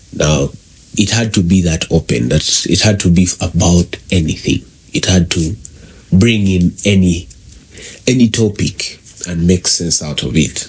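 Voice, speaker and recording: Long, frequent pauses break up a man's very deep, low voice at a fairly slow pace. His pitch varies ordinarily, and background noise is noticeable. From Uganda. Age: 20s. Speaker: podcast host. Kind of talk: solo podcast monologue.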